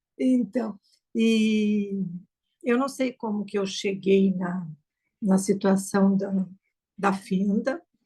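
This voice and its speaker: This woman has a medium pitch, a dark, mellow tone and ordinary pitch variation, and she sounds somewhat breathy. She talks at a very slow pace with long, frequent pauses. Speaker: choir singer and student. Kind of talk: casual chat.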